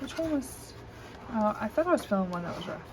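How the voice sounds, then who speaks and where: A woman's somewhat breathy voice with an American accent. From US South. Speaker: coloring hobby video creator. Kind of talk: casual show-and-tell. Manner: hesitant, many fillers.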